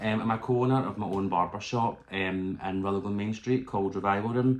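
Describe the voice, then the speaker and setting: A man's fairly low voice with a Glaswegian accent, fairly quick pace and fairly even intonation. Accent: Glaswegian Scottish. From Scotland, Glasgow. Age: 20s. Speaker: YouTuber and barber. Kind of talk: casual vlog talk.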